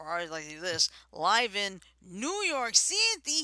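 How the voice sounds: The speaker uses a put-on character voice with a fairly high pitch. The pace is fairly slow.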